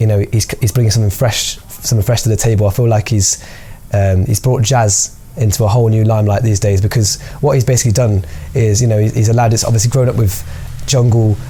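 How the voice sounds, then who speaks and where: Noticeable background noise sits behind a man speaking at a very fast pace. His pitch is fairly low and his intonation fairly even. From Birmingham, England (Handsworth). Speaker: percussionist. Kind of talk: interview; casual chat.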